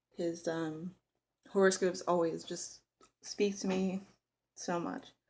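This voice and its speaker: This woman talks in a fairly low pitch with fairly even intonation. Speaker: tarot hobbyist vlogger. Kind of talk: casual tag video monologue. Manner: hesitant, many fillers.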